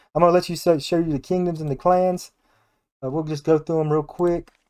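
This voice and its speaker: A man's high-pitched voice with a dark, mellow tone and an American accent, in a very clean recording with a silent background. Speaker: gaming YouTuber and modder. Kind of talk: casual gameplay commentary. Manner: halting, many restarts and fillers.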